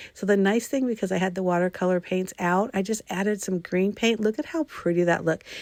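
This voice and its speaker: A woman talks at a fairly quick pace with hardly any pauses, her medium-pitched voice showing ordinary pitch variation. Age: 60s. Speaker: craft video creator. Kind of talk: tutorial. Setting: home craft room. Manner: casual, with filler words; enthusiastic.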